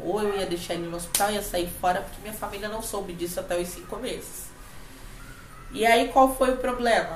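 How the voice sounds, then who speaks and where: Over noticeable background noise and audible room echo, a woman speaks at a medium pitch with lively intonation. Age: 30s. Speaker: podcast co-host, spiritual and emotional coach. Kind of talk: casual chat. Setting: at home.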